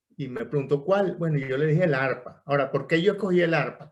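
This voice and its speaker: A man with a Caracas accent and ordinary pitch variation. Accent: Venezuelan Spanish (Caracas). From Venezuela (Caracas). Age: 70s. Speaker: veterinarian and harpist. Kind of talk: podcast interview. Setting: recorded via computer, no microphone. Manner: conversational storytelling with fillers.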